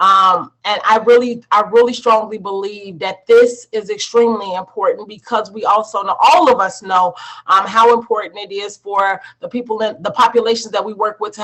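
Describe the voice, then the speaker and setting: A woman with a plain, everyday voice, fairly high pitch and fairly even intonation, at a fairly quick pace with hardly any pauses and big swings in loudness. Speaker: social services presenter. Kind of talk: online presentation.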